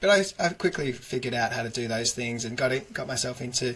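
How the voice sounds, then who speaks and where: With an Australian accent, a man speaks at a fairly quick pace and medium pitch, his bright, sharp tone showing ordinary pitch variation. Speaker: digital agency founder. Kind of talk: interview. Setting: office.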